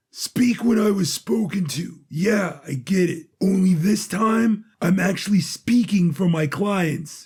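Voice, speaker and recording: Putting on a raspy, high-pitched character voice, a man talks at a fairly slow pace with hardly any pauses. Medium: audio drama. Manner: casual, sarcastic.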